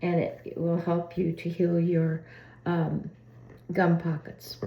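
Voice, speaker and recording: Very slow and somewhat breathy, a woman's voice unfolds. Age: 80s+. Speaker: oral care demonstrator. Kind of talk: casual talk to camera.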